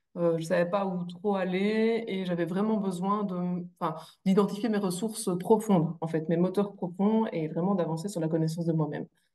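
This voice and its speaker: A woman with a slight Belgian accent talks at medium pitch and a moderate pace, with fairly even intonation and hardly any pauses. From Belgium. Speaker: coaching client sharing testimony. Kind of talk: testimony interview. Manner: hesitant, many fillers.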